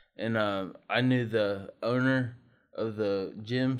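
A man talks at medium pitch with fairly even intonation. The background is quiet. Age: 30s. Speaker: lawn business owner, former firefighter. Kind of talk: testimony. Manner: halting.

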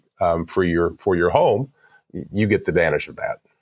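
A man speaks with a very deep, low pitch. The pitch variation is ordinary. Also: dry, close sound with no echo. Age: 40s. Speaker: home automation business owner. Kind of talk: interview.

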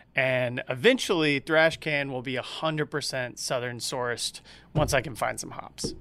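In a very clean recording with a silent background, a man with an American accent talks at a moderate pace and medium pitch, with fairly even intonation and a bright, sharp tone. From Georgia, US South. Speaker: brewmaster. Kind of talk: casual interview chat.

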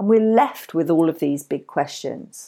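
A woman's voice has a dark, mellow tone and very wide pitch swings. The recording is very clean, with a silent background. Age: 40s. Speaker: podcast host. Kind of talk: solo book review. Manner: hesitant, many fillers.

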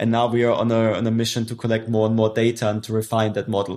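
A man with a German accent speaks at a medium pitch and a moderate pace. The recording is very clean, with a silent background. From southwest Germany, Stuttgart. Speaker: startup founder. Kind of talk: interview.

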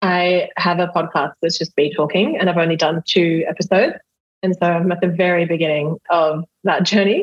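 Delivered at a moderate pace in an Australian accent. The intonation stays fairly even and the loudness very even. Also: woman, fairly low pitch for a woman. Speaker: hypnotherapist. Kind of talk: coaching session. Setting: video call.

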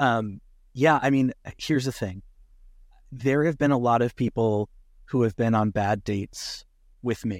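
A man with an American accent talks at a medium pitch, with ordinary pitch variation and long, frequent pauses. The recording is very clean with a silent background, and the sound is dry and close with no echo. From Connecticut, US. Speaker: content creator. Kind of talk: casual chat. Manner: fast.

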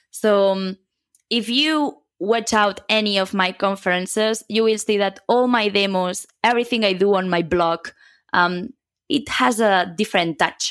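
On a very clean recording with a silent background, a woman with a Catalan accent speaks fairly slowly at a medium pitch, with ordinary pitch variation and very even loudness. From Catalonia, Spain (near Barcelona). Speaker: software consultant. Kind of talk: interview.

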